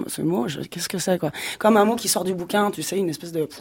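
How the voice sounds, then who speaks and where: A woman's voice carries a dark, mellow tone and ordinary pitch variation. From provincial France. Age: 40s. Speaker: singer. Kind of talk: radio interview. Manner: casual, slangy.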